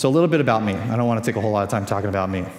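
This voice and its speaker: A man with an American accent and lively intonation, with audible room echo. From California. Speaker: conference speaker on social media. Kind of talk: conference talk. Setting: stage with audience. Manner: fast.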